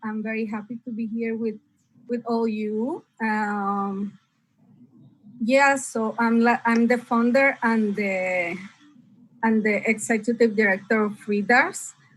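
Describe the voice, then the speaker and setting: Talking very slowly, a woman with a Spanish accent uses a fairly high pitch. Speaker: nonprofit founder and small business owner. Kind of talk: interview. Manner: halting.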